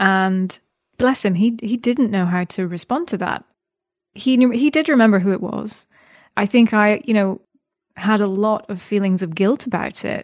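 This woman speaks in a Scottish accent. Her pitch variation is ordinary. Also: medium pitch for a woman, moderate pace. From Scotland. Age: 30s. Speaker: podcast interview guest. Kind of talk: casual interview conversation.

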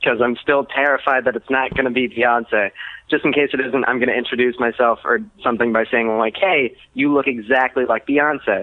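Speaking at a medium pitch with ordinary pitch variation, a man uses a normal speaking voice. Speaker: caller. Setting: phone call.

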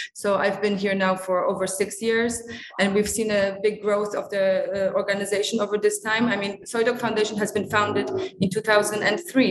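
Noticeable background noise beneath a monotone delivery with flat intonation. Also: woman. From Singapore, Polish family. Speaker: veterinarian at an animal welfare charity. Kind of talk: interview. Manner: halting, with fillers and repeats.

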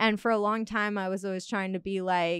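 On a very clean recording with a silent background, a woman at medium pitch talks at a moderate pace in a normal speaking voice. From Hawaii, North Carolina and Cancun. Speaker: podcast guest. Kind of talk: casual chat.

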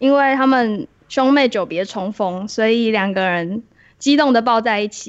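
Speaking in a high pitch, a woman takes a fairly slow pace. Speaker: bookstore clerk podcast host. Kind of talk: casual chat.

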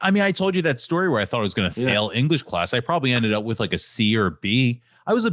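A man with an American accent talks at a very fast pace and medium pitch, his voice making very wide pitch swings. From Philadelphia suburbs. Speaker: podcast host.

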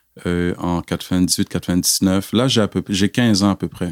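In an unremarkable speaking voice, a man talks at a fairly low pitch with fairly even intonation, recorded very cleanly with a silent background and a dry, close sound with no echo. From Quebec, via Cameroon. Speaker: church member giving testimony. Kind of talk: testimony.

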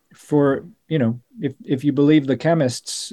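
A man's dark, mellow voice, fairly high in pitch, with an American accent, against a quiet background. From US, Colorado. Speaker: documentary filmmaker. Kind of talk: interview conversation. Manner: halting, many fillers and repetitions.

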